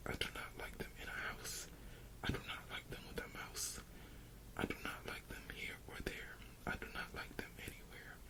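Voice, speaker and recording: Whispering over noticeable background noise. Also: moderate pace. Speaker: ASMR creator who reads bedtime stories. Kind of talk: children's book reading for sleep.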